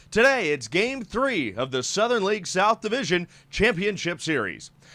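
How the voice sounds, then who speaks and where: A man's raised, projected voice, high-pitched with a bright, sharp tone and very wide pitch swings, at a moderate pace in a very clean recording with a silent background. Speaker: sports broadcaster. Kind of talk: pre-game stand-up open.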